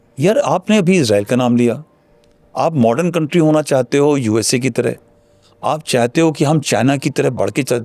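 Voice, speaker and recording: This man's voice sits at a fairly high pitch with a dark, mellow tone, moving at a moderate pace with very even loudness and ordinary pitch variation. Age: 60s. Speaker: retired army general. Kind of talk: interview.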